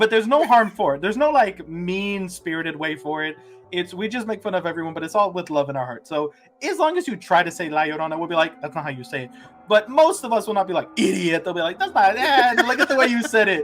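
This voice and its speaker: The speaking is very rapid. Music runs in the background. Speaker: YouTuber and substitute teacher. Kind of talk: casual interview chat.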